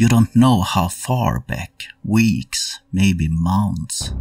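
With vocal fry, the voice moves at a very slow pace. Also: man. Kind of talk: dramatic second-person narration, game-master style storytelling of a horror scene. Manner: tense, atmospheric, measured pacing that builds dread.

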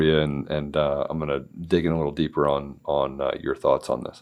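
Vocal fry marks this man's very deep, low voice with an American accent. The recording is very clean and the background silent. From Washington, D.C. area. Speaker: podcast guest host, company CEO. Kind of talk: casual interview chat. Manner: halting, many fillers and restarts.

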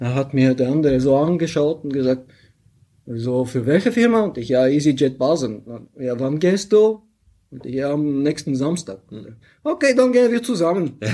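Moving at a moderate pace, a man with a fairly high pitch and a dark, mellow tone uses lively intonation and big swings in loudness. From Bulgaria. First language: Bulgarian (speaking German). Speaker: pilot and software founder. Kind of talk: interview.

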